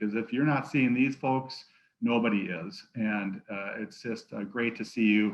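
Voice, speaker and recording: This is a man's voice. It sits at a medium pitch. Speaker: health foundation program staff presenting. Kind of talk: conference presentation. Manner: fast.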